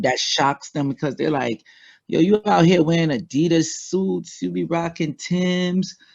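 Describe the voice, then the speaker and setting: Speaking very slowly with a strong Trinidadian accent, a man uses a high pitch and ordinary pitch variation against a quiet background. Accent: heavy Trinidad and Tobago. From US, West Indian Trinidadian family. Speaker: spiritual guest. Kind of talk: casual interview chat. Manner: sing-song lilt.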